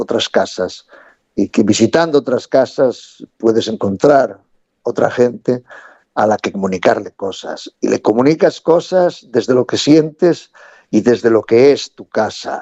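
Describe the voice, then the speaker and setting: Speaking fairly slowly in a Galician accent, a man uses a medium pitch and lively intonation. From Galicia, Spain. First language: Galician (speaking Spanish). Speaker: theatre director and storyteller. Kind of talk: interview. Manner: halting, repeats words.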